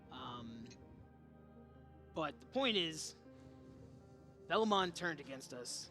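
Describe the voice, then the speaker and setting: A raspy, put-on character voice from a man, fairly high-pitched, with very wide pitch swings, a fairly slow pace, long and frequent pauses, and clear music in the background. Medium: actual play. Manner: anxious, halting.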